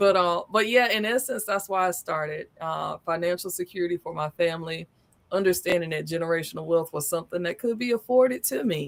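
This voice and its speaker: A woman speaks with a Southern US accent at a fairly quick pace. Her pitch is fairly low. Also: ordinary pitch variation. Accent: Southern country. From US South, Southern East Coast. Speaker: business consultant. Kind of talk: interview. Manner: talkative.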